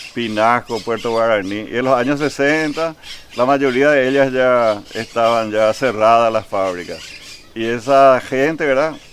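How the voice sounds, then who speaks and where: Against noticeable background noise, a man at a medium pitch talks at a fairly slow pace with ordinary pitch variation. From Paraguay, Asunción, raised from age 12 in Vallemí. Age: 60s. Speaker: local historian interviewee. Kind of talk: interview.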